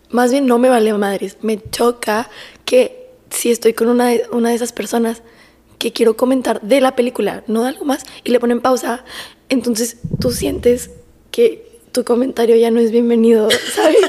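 A soft-spoken woman talks at a high pitch. Her intonation is fairly even and her pace moderate. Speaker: podcast co-host. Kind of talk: casual chat. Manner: quiet, speaking very softly.

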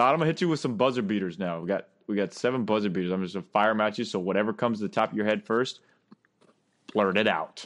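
Speaking at a very fast pace, a man with a fairly low voice shows ordinary pitch variation. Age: 30s. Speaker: life coach and podcast host. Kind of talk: casual interview chat. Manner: animated.

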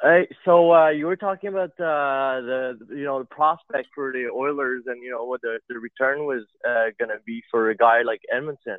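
With a fairly high pitch, a man talks at a moderate pace in a normal speaking voice, with hardly any pauses. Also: ordinary pitch variation. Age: 30s. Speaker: caller, navy base worker. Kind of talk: phone-in call.

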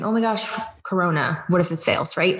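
An unremarkable speaking voice from a woman, medium in pitch, moderate in pace, with ordinary pitch variation. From Georgia, US South (from age seven; born in Cleveland). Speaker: business coach. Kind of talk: casual chat.

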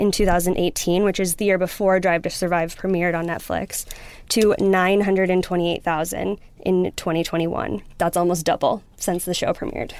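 Over noticeable background noise, a woman talks at a medium pitch with an American accent. She moves at a fairly quick pace with fairly even intonation. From US Midwest, Wisconsin. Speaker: streaming company publicist. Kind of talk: show recommendation, partly scripted. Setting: studio.

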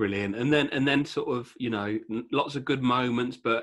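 A man speaks in an ordinary speaking voice at a medium pitch. His pace is moderate, with ordinary pitch variation. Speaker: podcast host. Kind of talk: casual interview chat.

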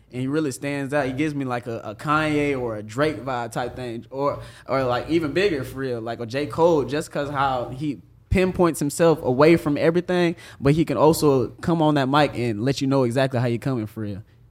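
With an American accent and a normal speaking voice, a man talks at a fairly quick pace, his fairly high pitch showing ordinary variation. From Toronto and Jacksonville, Florida. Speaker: DJ. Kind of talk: casual chat.

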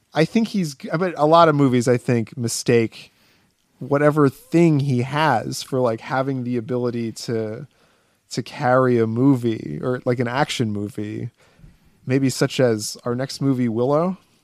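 A man with a normal speaking voice, medium pitch and ordinary pitch variation, in a dry, close sound with no echo. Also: fairly slow pace. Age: 30s. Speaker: podcast co-host. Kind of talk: casual chat.

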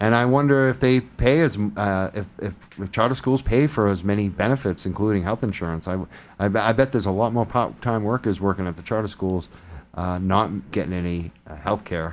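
Speaking at a fairly quick pace, a man has a fairly low pitch and ordinary pitch variation.

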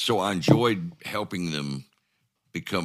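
Recorded very cleanly against a silent background, a man speaks with vocal fry at a very deep, low pitch and ordinary pitch variation. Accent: Ozark. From US South, northwest Arkansas. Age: 70s. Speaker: former mayor. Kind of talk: casual interview.

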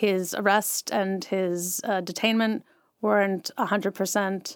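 A woman with a plain, everyday voice speaks at a fairly slow pace and medium pitch, her intonation fairly even and her loudness very even, in a dry, close sound with no echo on a very clean recording with a silent background. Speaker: writer and journalist. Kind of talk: interview about books.

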